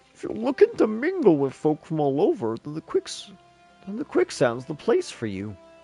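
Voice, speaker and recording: Over faint music in the background, a put-on character voice moves at a moderate pace. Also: man, fairly high pitch for a man. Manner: odd, affected voice.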